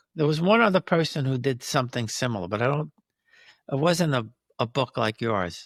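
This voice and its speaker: A man with an American accent and a plain, everyday voice speaks at a fairly quick pace with lively intonation and a fairly high pitch. The recording is very clean with a silent background, and the sound is dry and close with no echo. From United States. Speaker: podcast host. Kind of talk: interview conversation.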